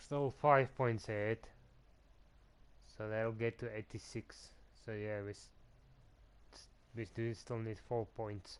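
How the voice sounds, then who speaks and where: A man with a non-native accent and a medium-pitched voice speaks fairly slowly with fairly even intonation. His loudness swings widely, and he takes long, frequent pauses. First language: not English. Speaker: gaming streamer. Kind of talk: live gameplay commentary. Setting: live stream. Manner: halting.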